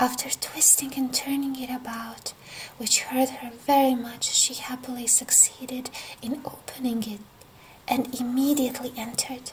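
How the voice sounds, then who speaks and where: Over noticeable background noise, a woman whispers in a gentle tone at a moderate pace. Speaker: storyteller. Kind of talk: bedtime fairy tale reading. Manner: whispered, gentle.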